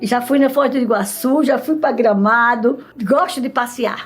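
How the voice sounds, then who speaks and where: A woman speaks at a fairly high pitch with ordinary pitch variation while music plays in the background. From Alagoas, northeastern Brazil (Mata Grande). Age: 70s. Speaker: retired teacher and school principal. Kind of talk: documentary interview.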